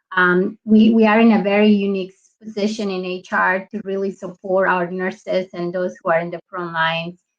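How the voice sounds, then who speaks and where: A woman with a Spanish accent speaks at a moderate pace with hardly any pauses, her medium-pitched voice holding a monotone, flat intonation. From Colombia. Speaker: HR business partner. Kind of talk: panel talk.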